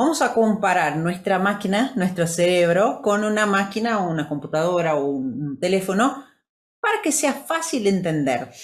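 Moderately paced, a woman talks in a medium pitch that makes very wide pitch swings. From Brazil. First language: Portuguese (speaking Spanish). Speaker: podcast co-host, wellness coach. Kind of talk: motivational talk.

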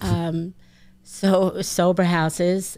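Speaking in a New York accent, a woman has a fairly low pitch and a dark, mellow tone, her intonation monotone and flat. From Long Island, New York. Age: 50s. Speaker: recovering addict and peer counselor. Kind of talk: testimony.

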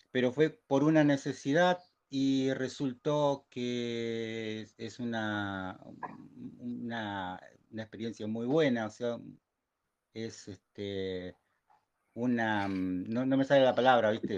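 The speaker moves at a very slow pace with long, frequent pauses and ordinary pitch variation. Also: man, medium pitch for a man. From Argentina. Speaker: amateur radio operator. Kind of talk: casual chat.

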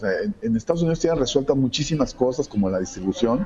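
Amid noticeable background noise, a man speaks at a very fast pace with very wide pitch swings. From Mexico. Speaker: comic artist. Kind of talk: interview. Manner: hesitant, many fillers.

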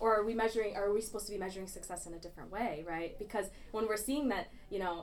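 A woman speaks very fast at a medium pitch. Audible room echo surrounds her voice. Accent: American. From Michigan, Grand Blanc. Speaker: recent graduate and student activist. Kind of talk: casual interview.

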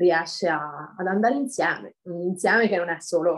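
Here a woman with a medium pitch uses a normal speaking voice, talking at a moderate pace with ordinary pitch variation. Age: 30s. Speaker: amateur dancer. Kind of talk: interview.

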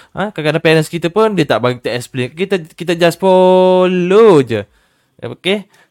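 High-pitched male speech, the sound dry and close without any echo. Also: lively intonation, moderate pace. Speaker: livestream host. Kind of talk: casual talk show livestream. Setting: online livestream.

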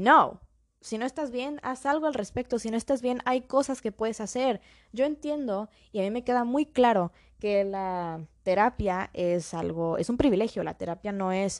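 A woman with a fairly high pitch speaks at a moderate pace with lively intonation. The recording is very clean, with a silent background. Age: young. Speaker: podcast host. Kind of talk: solo podcast monologue. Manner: code-switching Spanish and English.

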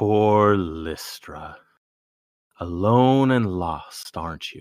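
Using a put-on character voice, a man talks at a very slow pace with a fairly low pitch and ordinary pitch variation. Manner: mysterious, taunting.

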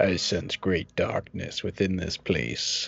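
In a put-on character voice, the speaker moves along at a fairly slow pace. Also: man, very deep, low pitch for a man. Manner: ominous, mystical.

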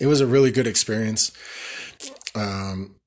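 A man with a plain, everyday voice, moderate pace and fairly even intonation. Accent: American. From Colorado. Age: 30s. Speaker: podcast host, army veteran. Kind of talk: casual monologue. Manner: casual, laughing often.

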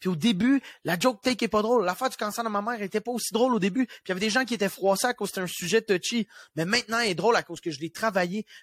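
In a Quebec accent, a man talks at a very fast pace in an animated tone, his voice high with ordinary pitch variation. The sound is dry and close, with no echo. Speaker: comedian. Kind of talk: casual chat. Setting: video call.

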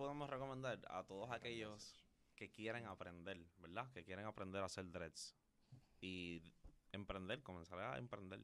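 Fairly low in pitch, a man with an unremarkable speaking voice talks at a moderate pace with ordinary pitch variation. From Puerto Rico, Carolina. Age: young. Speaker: loctician. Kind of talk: interview.

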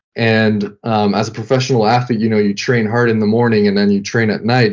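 In a French Canadian accent, a man speaks at a fairly quick pace, his fairly low voice monotone and flat. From Quebec (French Canada). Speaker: sports team creative director, former pro hockey player. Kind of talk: casual interview.

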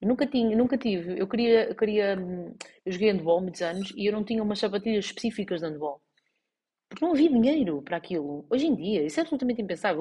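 With a European Portuguese accent, a woman speaks at a very fast pace and a fairly high pitch. Her voice is somewhat breathy, with very wide pitch swings. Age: 40s. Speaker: life coach and podcast host. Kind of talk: solo podcast monologue. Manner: halting, many fillers and restarts.

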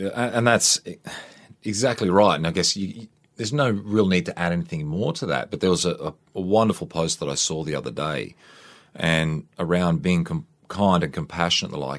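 Someone with an Australian accent speaks at a fairly quick pace with lively intonation on a very clean recording with a silent background. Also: man, very deep, low pitch for a man. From Queensland, Australia. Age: 40s. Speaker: army veteran and fitness trainer. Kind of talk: interview. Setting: studio.

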